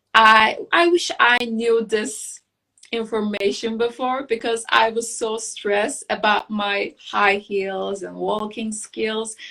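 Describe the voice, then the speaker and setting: In a Turkish accent, a woman speaks very slowly at a fairly high pitch with a bright, sharp tone. Her intonation is fairly even, and the recording is very clean with a silent background. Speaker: beauty queen and architect. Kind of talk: interview. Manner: halting.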